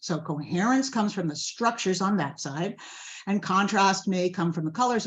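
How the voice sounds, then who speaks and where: A woman's somewhat breathy, medium-pitched voice at a fairly quick pace. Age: 70s. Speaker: garden designer. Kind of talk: lecture; Q&A answer.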